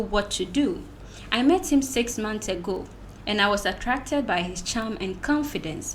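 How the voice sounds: The speaker uses a natural reading voice. Lively intonation marks the delivery.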